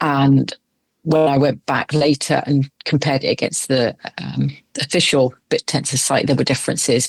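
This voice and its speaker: In a dry, close sound with no echo, a woman with a very deep, low pitch and vocal fry speaks at a moderate pace with monotone, flat intonation and very even loudness. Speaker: retired crypto investor. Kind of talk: interview answer.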